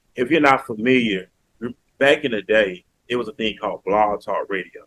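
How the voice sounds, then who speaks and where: A Southern US accent at a moderate pace with ordinary pitch variation. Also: man, medium pitch for a man. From US South, Mobile, Alabama. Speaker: podcaster. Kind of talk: interview.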